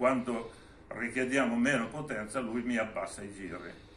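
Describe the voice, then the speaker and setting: The intonation is fairly even. There is audible room echo and light background noise. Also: man, moderate pace. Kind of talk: informal technical explanation. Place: workshop.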